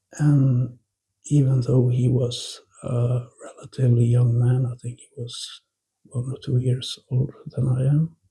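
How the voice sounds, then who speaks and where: A man speaks in a Norwegian accent with monotone, flat intonation. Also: medium pitch for a man, fairly slow pace, big swings in loudness. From Norway. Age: 40s. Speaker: ex-smoker sharing quit-smoking advice. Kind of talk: casual monologue to camera.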